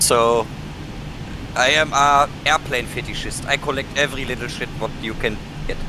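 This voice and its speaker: Amid noticeable background noise, a man with a German accent speaks at a fairly high pitch with fairly even intonation and long, frequent pauses. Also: moderate pace. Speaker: flight sim gamer. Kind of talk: casual chat.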